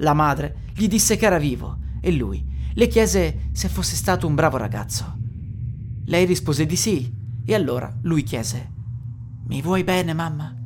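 Noticeable background noise fills the clip, and the speech has long, frequent pauses. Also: moderate pace. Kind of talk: ghost story telling, narrated.

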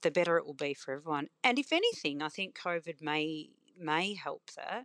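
In a quiet background, a woman with a fairly low pitch speaks at a moderate pace, the sound dry and close with no echo. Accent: Australian. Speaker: cafe owner. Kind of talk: interview. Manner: pragmatic-sounding.

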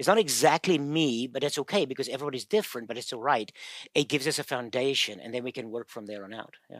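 A man with a South African accent and medium pitch talks at a very fast pace, with ordinary pitch variation and big swings in loudness, in a very clean, silent-background recording that is dry and close with no echo. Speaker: physical therapist and pain researcher. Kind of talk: interview, casual explanation.

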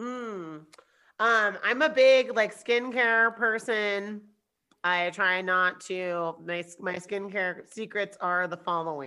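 A woman at a very slow pace, in a very clean recording with a silent background. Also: medium pitch for a woman, ordinary pitch variation. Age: 30s. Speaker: podcast guest, parent. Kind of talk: casual chat.

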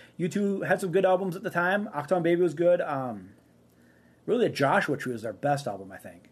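Speaking at a fairly quick pace, a man with a Minnesotan accent uses lively intonation. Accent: Minnesota. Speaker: sports podcast co-host. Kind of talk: casual chat.

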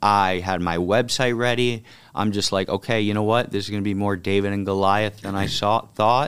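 In a very clean recording with a silent background, a man with a fairly low pitch talks at a moderate pace with fairly even intonation. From Miami, Florida. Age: 30s. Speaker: political candidate. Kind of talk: casual chat.

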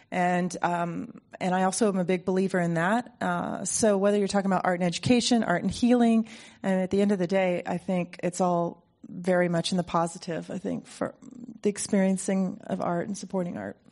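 With an American accent, a woman speaks at a fairly quick pace in an unremarkable speaking voice. Her pitch is medium and her intonation fairly even. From Ohio, US Midwest. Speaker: art gallery owner. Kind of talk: panel discussion. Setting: stage with audience.

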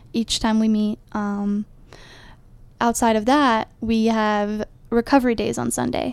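On a very clean recording with a silent background, a woman with an American accent talks at a fairly slow pace and fairly high pitch in a monotone, flat intonation. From Ohio. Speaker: college rugby player and team president. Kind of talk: casual interview. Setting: small podcast room in a library.

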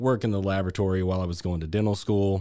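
A man talks in a Texan accent with very deep, low pitch. His intonation stays fairly even. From Texas (Granbury). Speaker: hospital laboratory manager. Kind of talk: interview. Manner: halting, many fillers.

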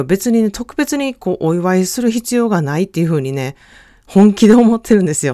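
In a very clean recording with a silent background, a woman speaks at a medium pitch with a dark, mellow tone and very wide pitch swings, the sound dry and close with no echo. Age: 40s. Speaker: self-care consultant podcaster. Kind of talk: casual monologue.

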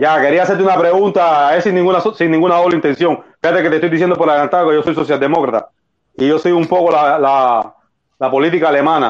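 The speech comes at a very fast pace. Loudness stays very even, and intonation is fairly even. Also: man, fairly high pitch for a man. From Cuba. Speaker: political activist. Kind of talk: casual chat.

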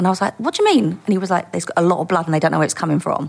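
Speaking in a Cockney accent, a woman uses a fairly low pitch and vocal fry. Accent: London (Essex-edge Cockney). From East London. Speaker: former undercover police officer. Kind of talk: casual interview. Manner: nervous.

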